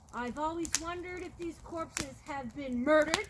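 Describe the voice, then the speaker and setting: A put-on character voice speaks at a high pitch. Background noise is clearly audible. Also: moderate pace. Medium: read story. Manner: scornful, accusing.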